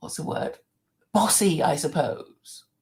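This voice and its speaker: A woman speaks with an Oxford English accent. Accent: proper Oxford English. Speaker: channel host. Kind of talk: casual conversation.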